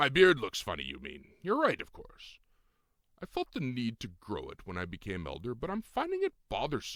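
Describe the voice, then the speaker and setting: Put-on character voice from a man, at a moderate pace. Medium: read story. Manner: formal, archaic.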